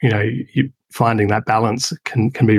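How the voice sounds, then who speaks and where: Somewhat breathy and fairly low, a man with an Australian accent talks at a moderate pace in a dry, close sound with no echo. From Adelaide, South Australia. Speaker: business owner building offshore teams. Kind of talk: interview. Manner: hesitant, repeats words.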